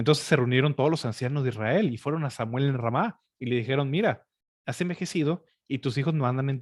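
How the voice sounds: A quiet background surrounds the speaker. The natural reading voice shows ordinary pitch variation.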